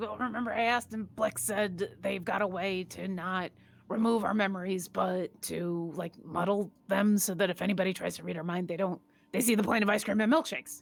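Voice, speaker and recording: In a raspy, put-on character voice, a woman talks at a fairly quick pace and a medium pitch with ordinary pitch variation. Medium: actual play. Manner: casual, chatty.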